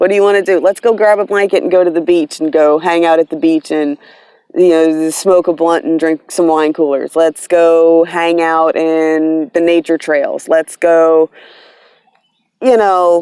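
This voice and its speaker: A woman with a fairly low pitch and a dark, mellow tone speaks at a fairly slow pace, with fairly even intonation, very even loudness and a dry, close sound with no echo. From US East Coast, mix of South and Northeast (Virginia, New York). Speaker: tarot reader, vlogger. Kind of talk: casual vlog monologue. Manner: casual, with fillers and restarts.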